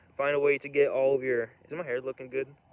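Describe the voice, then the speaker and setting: A man speaks at a fairly quick pace. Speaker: vlogger. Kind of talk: casual monologue. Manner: fast; rambling, halting.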